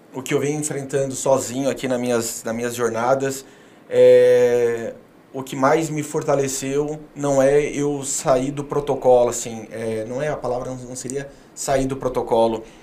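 Amid audible room echo, a man at medium pitch talks fairly slowly in a flat, monotone way. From southern Brazil (Paraná, Rio Grande do Sul, Santa Catarina). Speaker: public speaker and philanthropist. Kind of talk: casual interview.

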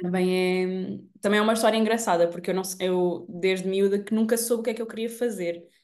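A woman speaks at medium pitch in a plain, everyday voice. Her intonation is fairly even, her pace fairly quick, with hardly any pauses. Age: 20s. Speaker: digital marketing entrepreneur. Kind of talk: casual chat.

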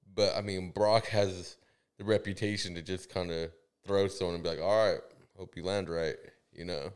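A man's very deep, low voice in an American accent, at a moderate pace, with big swings in loudness, long and frequent pauses, and a very clean recording over a silent background. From Central California. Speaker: MMA podcast co-host. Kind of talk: casual chat. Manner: animated.

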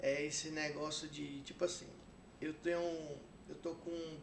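A man with a fairly high pitch talks in fairly even intonation over noticeable background noise and audible room echo. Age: 40s. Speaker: videomaker. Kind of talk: casual interview chat.

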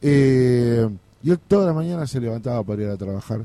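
This man has a medium pitch and a dark, mellow tone. He keeps a moderate pace with ordinary pitch variation. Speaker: community radio host. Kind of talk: radio interview.

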